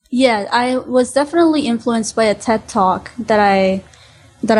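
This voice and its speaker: A woman's fairly high voice with a Spanish accent, at a fairly slow pace with ordinary pitch variation. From Honduras. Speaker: student and painter. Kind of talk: interview.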